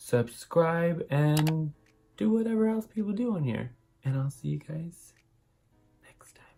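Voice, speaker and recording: A man whispers quietly at a fairly slow pace over background music, with big swings in loudness and long, frequent pauses. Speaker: beauty YouTuber. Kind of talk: makeup tutorial and product review. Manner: casual, chatty; sounds like whispering, quiet.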